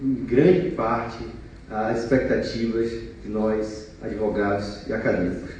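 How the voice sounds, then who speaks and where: Amid audible room echo and noticeable background noise, a man with a medium pitch talks at a fairly slow pace with fairly even intonation. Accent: Bahian. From Bahia, Brazil. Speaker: law professor. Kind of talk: conference talk.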